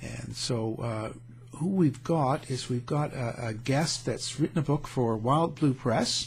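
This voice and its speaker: Speaking fairly slowly at a medium pitch, a man talks with vocal fry. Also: ordinary pitch variation. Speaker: radio show host. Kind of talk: radio interview. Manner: hesitant, casual.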